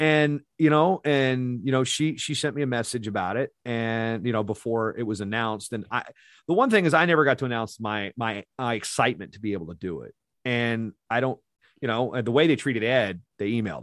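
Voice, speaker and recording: In an American accent, a man with an unremarkable speaking voice talks at a fairly quick pace with medium pitch and ordinary pitch variation against a quiet background. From Virginia. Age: 40s. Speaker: wrestling announcer. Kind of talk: casual interview chat.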